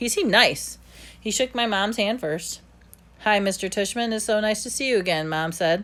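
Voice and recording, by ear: This is someone reading aloud in a natural voice. The words are read out in that way throughout.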